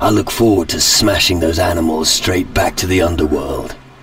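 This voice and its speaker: A man puts on a raspy character voice with a very deep, low pitch, speaking at a moderate pace. Background noise is clearly audible. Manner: dry, sardonic.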